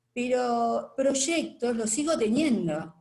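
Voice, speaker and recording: A woman with a Rioplatense accent speaks in a somewhat breathy voice, her pitch swinging very widely. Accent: Argentine Rioplatense Spanish. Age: 70s. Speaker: retired participant in discussion. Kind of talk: casual testimony in online discussion. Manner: hesitant, many fillers.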